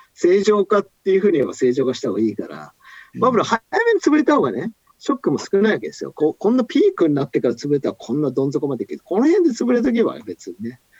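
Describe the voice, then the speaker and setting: A man at a very fast pace in an animated tone, dry and close with no echo. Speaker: economist. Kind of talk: casual chat. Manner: animated, storyteller-like.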